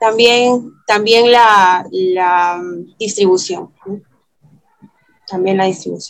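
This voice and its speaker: Long, frequent pauses break up this woman's very slow speech, delivered with fairly even intonation. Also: medium pitch for a woman. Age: 30s. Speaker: film critic. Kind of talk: interview. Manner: hesitant, many fillers.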